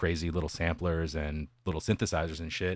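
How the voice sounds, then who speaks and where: A man with an American accent speaks in a very deep, low voice, recorded dry and close with no echo against a silent background on a very clean recording. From West Texas. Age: 30s. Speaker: metal musician. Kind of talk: casual chat.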